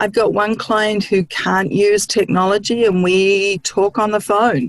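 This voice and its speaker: A woman with a New Zealand accent speaks at a fairly slow pace and a medium pitch. Her intonation is fairly even and her loudness very even. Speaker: licensed counselor. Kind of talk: interview.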